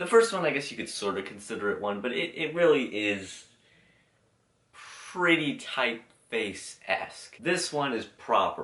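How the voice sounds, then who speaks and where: A man with vocal fry speaks at a fairly slow pace, his pitch swinging very widely. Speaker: YouTuber reviewing logos. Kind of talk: casual commentary video.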